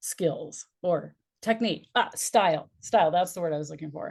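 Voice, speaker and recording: A woman's unremarkable speaking voice, fairly low in pitch, at a moderate pace with ordinary pitch variation against a quiet background. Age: 60s. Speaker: business and life strategist, speaker coach. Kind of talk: interview conversation.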